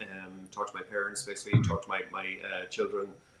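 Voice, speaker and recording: A man talks in an Irish accent. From Ireland. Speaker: business executive. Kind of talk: panel discussion. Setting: virtual event.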